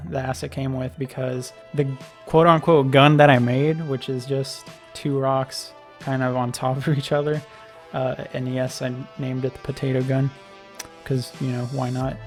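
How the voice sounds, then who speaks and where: A man at medium pitch and moderate pace, fairly even intonation, with music in the background. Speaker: game designer. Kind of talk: casual devlog narration. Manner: monotone.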